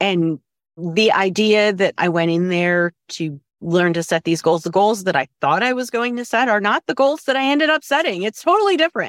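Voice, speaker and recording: A woman of medium pitch talks at a moderate pace. Her pitch swings very widely. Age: 40s. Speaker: course participant, home cook. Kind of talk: casual interview.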